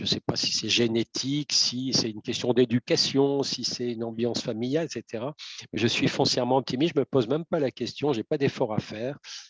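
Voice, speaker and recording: In a dry, close recording with no echo, a man talks at a fairly quick pace with a medium pitch and fairly even intonation. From northern France, Lille area. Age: 60s. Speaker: volunteer delegate, retired communications professional. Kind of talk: interview. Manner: hesitant, many fillers.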